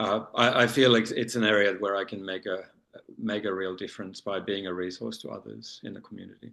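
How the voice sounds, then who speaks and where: With a bright, sharp tone and vocal fry, a man with a fairly low pitch talks at a fairly quick pace, his intonation fairly even but his loudness swinging widely. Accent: Australian. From Australia. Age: 40s. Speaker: leather community titleholder. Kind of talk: panel discussion. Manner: halting, many fillers.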